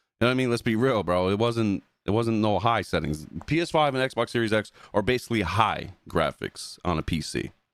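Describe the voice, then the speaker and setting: A man with a New Jersey accent speaks at a fairly quick pace with lively intonation, his loudness very even on a very clean recording with a silent background. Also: medium pitch for a man. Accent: New Jersey accent coming through. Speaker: gaming podcast co-host and YouTuber. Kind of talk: casual podcast chat. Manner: animated, heated.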